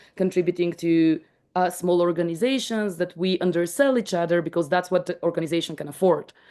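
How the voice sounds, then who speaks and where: A woman speaks in a non-native accent at medium pitch. Her tone is dark and mellow, with ordinary pitch variation. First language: not English. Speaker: startup founder presenting their tool. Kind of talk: explanatory presentation in video call. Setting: video call. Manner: halting, many restarts and fillers.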